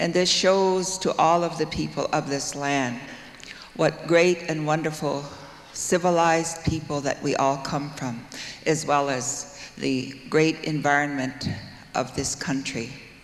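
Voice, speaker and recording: A fairly high-pitched man at a fairly slow pace with fairly even intonation, amid audible room echo and noticeable background noise. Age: 70s. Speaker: music award recipient. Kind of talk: acceptance speech. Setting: stage with audience. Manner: formal.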